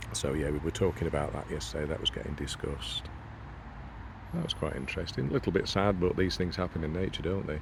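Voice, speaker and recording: Very deep and low in pitch, a quiet man speaks. His pace is very fast. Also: ordinary pitch variation. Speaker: nature vlogger. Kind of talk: casual outdoor vlog narration. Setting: outdoors by a pond.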